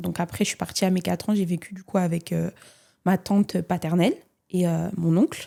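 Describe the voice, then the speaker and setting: A woman's fairly low, dark, mellow voice at a fairly quick pace, in a very clean recording with a silent background. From France (Nice, Côte d'Azur). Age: 20s. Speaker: content creator and entrepreneur. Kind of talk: podcast interview.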